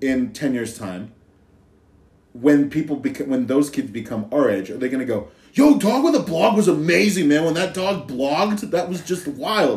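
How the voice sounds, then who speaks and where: With an American accent, a man speaks at a moderate pace in a fairly high pitch. His voice carries vocal fry and very wide pitch swings. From Idaho. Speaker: podcast guest. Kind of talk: casual chat. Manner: animated.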